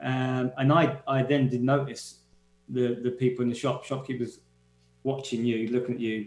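In a London accent, a man speaks at a medium pitch and a moderate pace, his intonation monotone and flat. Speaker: guest's partner. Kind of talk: casual chat. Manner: halting.

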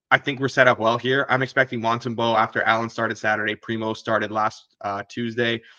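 A man's medium-pitched voice, bright and sharp, at a fairly quick pace with a dry, close sound with no echo and a quiet background. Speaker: sports betting analyst. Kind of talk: casual sports betting discussion.

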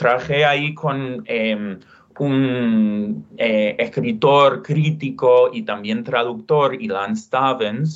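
With an English accent, a man speaks very slowly at a medium pitch, his intonation lively. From US West (Utah, California). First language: English (speaking Spanish). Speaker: literature professor and author. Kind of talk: interview. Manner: halting, many repetitions and fillers.

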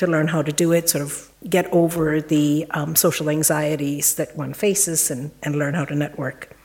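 A woman with a fairly low voice talks at a moderate speed while noticeable background noise plays behind her. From India. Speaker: virologist. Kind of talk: panel talk. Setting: stage with audience.

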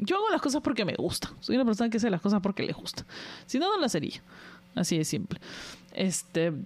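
A woman's fairly high-pitched voice at a very fast pace, with very wide pitch swings and long, frequent pauses. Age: 40s. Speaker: podcast host. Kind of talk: casual monologue.

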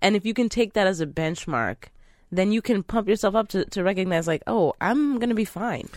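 A woman's normal speaking voice, medium in pitch and fairly quick, with lively intonation, on a very clean recording with a silent background. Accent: American. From Philadelphia, US. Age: 20s. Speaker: comedian. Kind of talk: casual chat.

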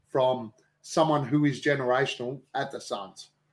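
A man with an Australian accent. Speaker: basketball podcaster. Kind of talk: casual chat. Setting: video call.

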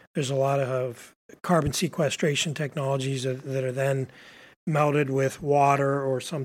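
A man speaks in a plain, everyday voice at a fairly high pitch. The recording is very clean, with a silent background. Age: 50s. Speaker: startup founder. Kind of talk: interview. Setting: host's office.

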